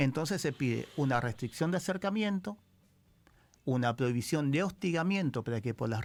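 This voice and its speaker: A man with a Rioplatense accent speaks at a moderate pace and a fairly high pitch, with lively intonation and very even loudness, in a very clean recording with a silent background. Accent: Argentine Spanish (rioplatense). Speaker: criminal lawyer. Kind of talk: radio interview. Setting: radio studio.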